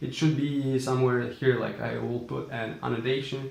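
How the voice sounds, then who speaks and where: Someone with a non-native accent speaks at a fairly quick pace, with audible room echo. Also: man. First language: not English. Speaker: entrepreneur vlogger. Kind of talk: casual vlog talk. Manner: hesitant with fillers.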